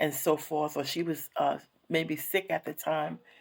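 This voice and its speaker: A woman's very deep, low voice in a very clean recording over a silent background. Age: 60s. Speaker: counselor and vlogger. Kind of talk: personal monologue vlog. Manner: halting, many fillers.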